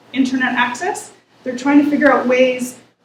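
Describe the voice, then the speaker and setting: This woman speaks at a high pitch with fairly even intonation. Room echo is audible. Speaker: researcher presenting a report. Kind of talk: presentation. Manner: fast.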